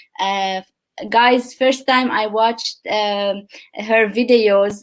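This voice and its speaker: Fairly even intonation in a normal speaking voice. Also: woman. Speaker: podcast host. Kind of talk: interview host questions.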